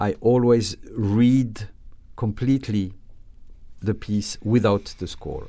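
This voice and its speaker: With long, frequent pauses, a man with a French accent speaks at a very slow pace in a dark, mellow tone. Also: medium pitch for a man, fairly even intonation. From France, Alsace. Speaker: orchestra conductor. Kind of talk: interview. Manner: halting.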